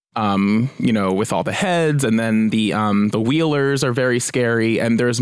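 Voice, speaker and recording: In an ordinary speaking voice, a man with an American accent talks at a moderate pace, his medium pitch showing ordinary pitch variation on a very clean recording with a silent background. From New Jersey. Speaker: journalist. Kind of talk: casual chat.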